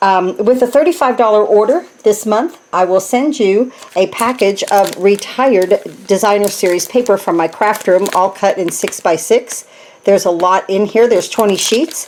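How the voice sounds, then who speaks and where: Noticeable background noise sits behind a woman speaking at a medium pitch and a moderate pace with very even loudness. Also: ordinary pitch variation. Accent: American. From New Jersey. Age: 60s. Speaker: craft demonstrator. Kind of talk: tutorial. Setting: home craft room. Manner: casual, chatty with filler words.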